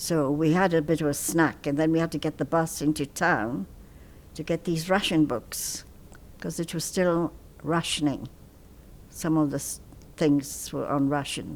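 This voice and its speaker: A woman talks at a moderate pace with a very deep, low pitch and fairly even intonation, leaving long, frequent pauses. The recording is very clean, with a silent background. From Punjab, India; raised in India and Pakistan. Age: 80s+. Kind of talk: oral history interview answer.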